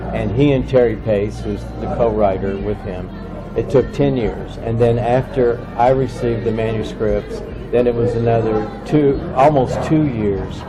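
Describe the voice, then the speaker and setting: Over music in the background, a man speaks fairly slowly, and the room echo is audible. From Kentucky. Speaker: book publisher. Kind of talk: interview.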